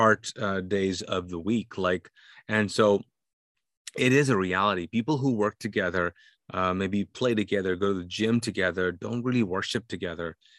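At a moderate pace and with ordinary pitch variation, the speech has a dry, close sound with no echo over a quiet background. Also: man, fairly low pitch for a man. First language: not English. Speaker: pastor. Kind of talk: casual interview.

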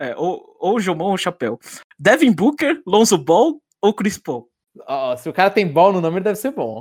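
Recorded very clean against a silent background, a man speaks at a high pitch and a moderate pace, with very wide pitch swings. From Brazil, São Paulo. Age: 30s. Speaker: podcast host. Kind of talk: casual chat.

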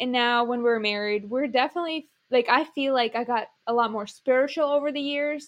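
Pitched high, a woman's voice moves at a fairly quick pace. Her pitch varies in an ordinary way. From Ukraine. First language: Ukrainian. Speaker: medical student. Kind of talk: interview.

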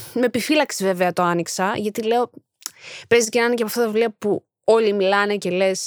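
A woman's plain, everyday voice at a medium pitch and fairly quick pace, with a dry, close sound with no echo on a very clean recording against a silent background. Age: 20s. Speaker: actress and social media creator. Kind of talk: casual interview. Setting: studio.

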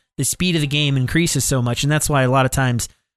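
A man's fairly high voice at a very fast pace, against a quiet background. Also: dry, close sound with no echo. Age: 30s. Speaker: podcast co-host. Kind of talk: casual chat.

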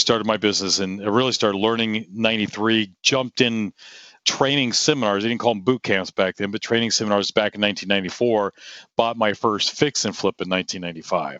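A man talks at a moderate pace with fairly low pitch and fairly even intonation. It is a normal speaking voice. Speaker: real estate investor and martial arts school owner. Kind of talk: interview.

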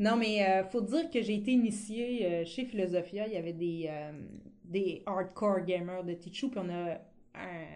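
A woman's medium-pitched voice in a rural Quebec accent, at a fairly slow pace with ordinary pitch variation and audible room echo. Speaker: board game event coordinator. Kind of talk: casual interview. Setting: studio.

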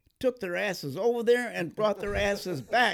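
A man with an American accent speaks in a high voice with lively intonation. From Southern California. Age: 90s. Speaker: war veteran. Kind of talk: casual interview. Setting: on location. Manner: halting.

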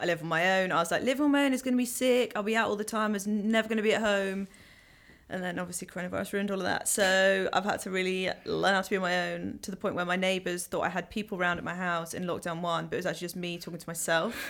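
A woman with a London accent, at a very fast pace. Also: medium pitch for a woman, ordinary pitch variation. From West London, England. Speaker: PR account director. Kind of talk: casual chat.

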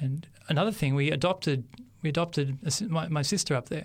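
A somewhat breathy man with an Australian accent at a fairly quick pace, on a very clean recording with a silent background. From Australia, Western Sydney. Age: 30s. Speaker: pastor. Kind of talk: testimony. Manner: halting.

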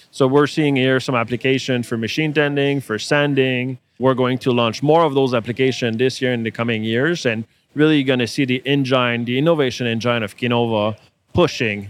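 Using a Quebec accent, a man talks at a fairly quick pace with medium pitch and fairly even intonation. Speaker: robotics company founder. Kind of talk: interview. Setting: trade show booth.

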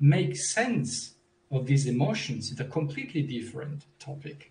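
With an Italian accent, a man talks at a moderate pace in a fairly high, somewhat breathy voice. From Italy. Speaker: language technology researcher. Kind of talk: panel discussion. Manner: halting, many disfluencies.

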